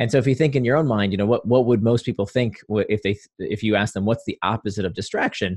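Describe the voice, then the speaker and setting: Speaking very fast with fairly even intonation, a man with an American accent sounds somewhat breathy. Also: medium pitch for a man. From US South, Florida (Orlando suburb). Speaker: author. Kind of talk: interview.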